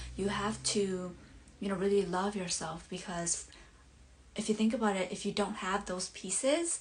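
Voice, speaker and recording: In a Southeast Asian accent, a woman talks at a medium pitch with ordinary pitch variation. Her voice is somewhat breathy, and her pace is moderate. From born abroad, Hmong community. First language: Hmong. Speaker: life coach. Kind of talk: live stream monologue. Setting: bedroom, live stream. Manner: halting, many fillers.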